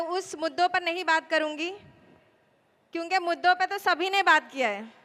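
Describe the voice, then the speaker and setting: The speaker is soft-spoken, with a bright, sharp tone. Pitch varies in an ordinary way. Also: woman. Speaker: election candidate. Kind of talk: political rally speech. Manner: soft-toned.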